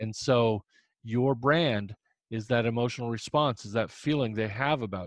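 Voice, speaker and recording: A man with a Midwestern US accent speaks at a moderate pace in a medium pitch, with ordinary pitch variation, in a dry, close recording with no echo and a quiet background. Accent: US Midwest. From Indiana. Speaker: humor columnist and author. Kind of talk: casual interview.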